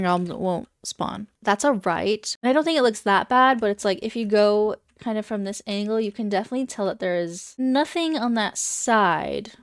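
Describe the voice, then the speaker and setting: Animated and medium-pitched, a woman talks with hardly any pauses. The recording is very clean, dry and close, with a silent background and no echo. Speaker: gaming YouTuber. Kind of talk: gameplay commentary. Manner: fast.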